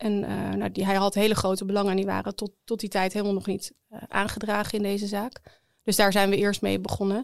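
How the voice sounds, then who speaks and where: A woman at a fairly quick pace with hardly any pauses, in a monotone, flat intonation. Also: medium pitch for a woman. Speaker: defense lawyer. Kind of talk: interview.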